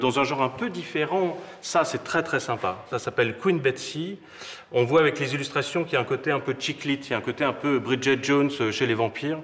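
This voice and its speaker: With ordinary pitch variation, a man speaks at a fairly quick pace. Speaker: bookseller or publisher presenting books. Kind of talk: interview answer. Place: shop.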